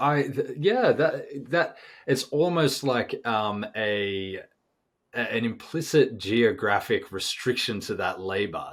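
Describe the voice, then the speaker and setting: On a very clean recording with a silent background, a man speaks in an Australian accent. His medium-pitched voice moves at a fairly slow pace. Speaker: podcast host. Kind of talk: podcast interview. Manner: hesitant with repetitions.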